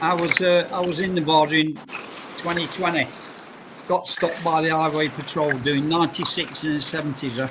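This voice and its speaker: Over noticeable background noise, a man with a British accent talks at a fairly quick pace in a fairly high voice with fairly even intonation. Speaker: metal detectorist. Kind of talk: casual chat, anecdote.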